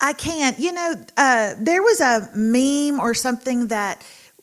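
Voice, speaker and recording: A woman talks in an animated tone. She speaks with a Texan accent. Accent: Texan Southern US. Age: 50s. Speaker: author. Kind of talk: podcast interview. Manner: loud.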